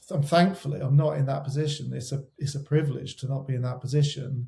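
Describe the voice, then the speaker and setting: With a West Country accent, a man speaks at a fairly quick pace. His tone is dark and mellow, and somewhat breathy. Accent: West Country twang. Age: 40s. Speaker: wedding photographer. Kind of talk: interview conversation. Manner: halting, many repetitions.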